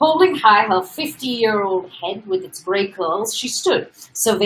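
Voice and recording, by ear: Someone reads text aloud. Their voice is natural.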